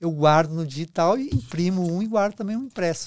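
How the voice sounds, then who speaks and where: A man's high-pitched voice rises and falls with lively intonation. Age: 70s. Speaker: friar and book restorer. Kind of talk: casual interview chat. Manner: halting, with false starts.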